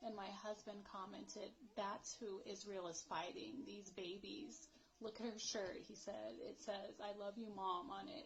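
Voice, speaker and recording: A woman with an American accent speaks fairly slowly at a medium pitch, her intonation lively. Noticeable background noise is present. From United States. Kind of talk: casual talk to camera. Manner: unrehearsed, emotional.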